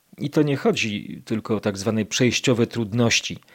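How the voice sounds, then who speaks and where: On a very clean recording with a silent background, a man with a plain, everyday voice talks at a medium pitch and a moderate pace. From Poland, Kraków (Nowa Huta). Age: 50s. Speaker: podcast host. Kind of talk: scripted narration.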